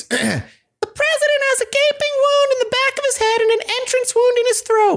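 A man uses a put-on character voice at an extremely high pitch. He speaks at a moderate pace.

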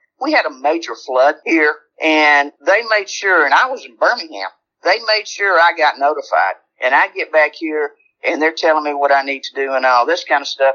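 In a Southern US accent, a woman speaks with a very deep, low pitch and a bright, sharp tone, her intonation lively and her pace moderate. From Alabama. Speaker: longtime neighborhood resident, retired healthcare worker. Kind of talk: interview. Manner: animated.

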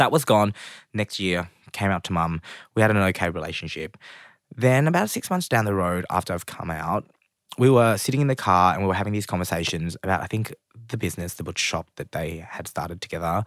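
In an Australian accent, a man with a very deep, low pitch speaks at a fairly quick pace with ordinary pitch variation, in a very clean recording with a silent background and a dry, close sound with no echo. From Australia, Melbourne (Springvale). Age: 20s. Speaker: cook and TV presenter. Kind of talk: interview.

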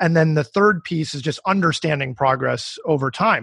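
Using a plain, everyday voice, a man talks at a fairly quick pace with ordinary pitch variation in a dry, close sound with no echo. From US, Colorado. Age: 30s. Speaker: startup founder and CEO. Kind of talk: interview.

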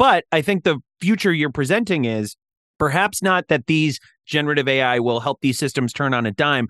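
The man has an ordinary speaking voice, fairly high in pitch, with lively intonation at a moderate pace. The sound is dry and close with no echo, against a quiet background. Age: 30s. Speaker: podcast host. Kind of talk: interview.

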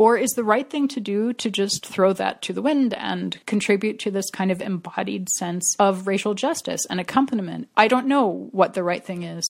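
A woman speaks in an unremarkable speaking voice, medium in pitch with ordinary variation. Her pace is moderate, with hardly any pauses. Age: 50s. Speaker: editor and writer. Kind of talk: personal testimony.

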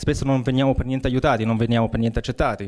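A man's voice at a medium pitch. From Munich, Bavaria. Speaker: local election candidate. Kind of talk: campaign speech in debate. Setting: public event with audience.

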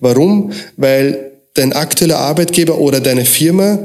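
The room echo is audible and there is noticeable background noise. A man speaks with ordinary pitch variation. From Austria, moved from Croatia at seven. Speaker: recruiting consultant. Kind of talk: interview.

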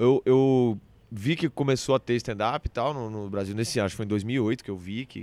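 A man at a medium pitch and moderate pace on a very clean recording with a silent background. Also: ordinary pitch variation, dry, close sound with no echo. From Brazil, Brasília then Recife. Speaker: stand-up comedian. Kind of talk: casual interview chat.

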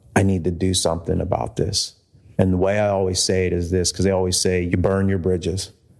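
The talking is very fast, with an American accent and a monotone, flat delivery. Loudness stays very even while noticeable background noise runs underneath. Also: man, very deep, low pitch for a man. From Pennsylvania, Pittsburgh area (North Braddock). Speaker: pastor. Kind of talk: casual interview conversation. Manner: hesitant, many fillers and repetitions.

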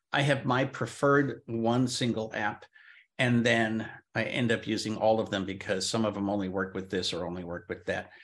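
A man speaks in an unremarkable speaking voice against a quiet background. His pitch is medium, with ordinary pitch variation. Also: moderate pace. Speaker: podcast host. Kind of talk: casual chat.

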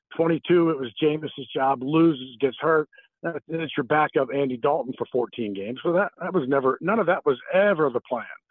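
Here is a man with a normal speaking voice, pitched fairly high with ordinary pitch variation. He keeps a moderate pace with hardly any pauses. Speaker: play-by-play broadcaster. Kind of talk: radio interview.

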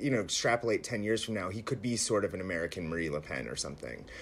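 At a very fast pace, a man talks with vocal fry and very wide pitch swings. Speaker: writer. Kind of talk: interview conversation. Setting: remote interview from home.

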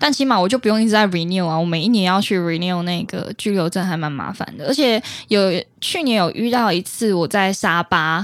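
A woman speaks in an ordinary speaking voice at medium pitch with ordinary pitch variation. Her pace is moderate, and the recording is very clean, with a silent background. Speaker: podcast host and actress. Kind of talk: casual chat.

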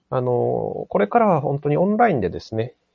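The pace of this man's speech is moderate. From Japan, Aomori (Hirosaki). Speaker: fundraiser. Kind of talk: casual chat.

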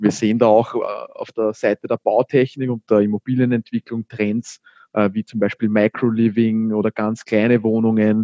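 Monotone and flat in intonation, a man speaks at a medium pitch with a dark, mellow tone, recorded with a dry, close sound and no echo. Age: 20s. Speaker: startup founder. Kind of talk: interview. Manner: hesitant fillers.

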